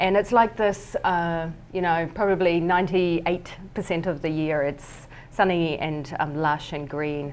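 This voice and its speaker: Fairly slow speech in a New Zealand accent with fairly even intonation. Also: woman, fairly low pitch for a woman. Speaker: artist. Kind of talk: presentation. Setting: talk with live audience at a winery. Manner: hesitant, many fillers.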